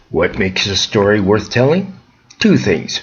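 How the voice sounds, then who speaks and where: Noticeable background noise accompanies a speaker with an American accent whose pitch swings very widely. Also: man. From US Midwest, Chicago area. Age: 70s. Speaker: storyteller. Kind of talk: scripted narration.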